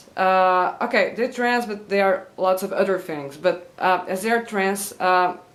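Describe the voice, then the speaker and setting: Here a woman speaks with a Portuguese accent. Her medium pitch shows ordinary variation. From Portugal. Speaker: YouTuber. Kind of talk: vlog monologue. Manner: halting with many fillers.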